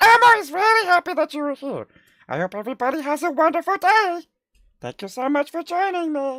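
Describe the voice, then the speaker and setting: Putting on a squeaky character voice at an extremely high pitch, a man speaks at a fairly quick pace. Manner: cheerful, happy.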